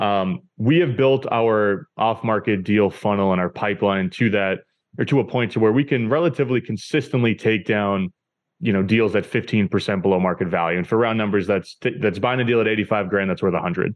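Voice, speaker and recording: Speaking at a fairly quick pace with an American accent, a man uses a fairly low pitch, ordinary pitch variation and very even loudness in a normal speaking voice. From New Hampshire, US. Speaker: real estate investor, podcast host. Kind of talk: interview conversation.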